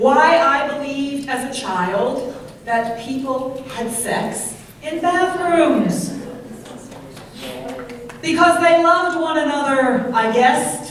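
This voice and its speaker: This woman's voice sits high and moves with ordinary pitch variation at a very slow pace. Long, frequent pauses break up her speech over noticeable background noise. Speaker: poet. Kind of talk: poetry reading.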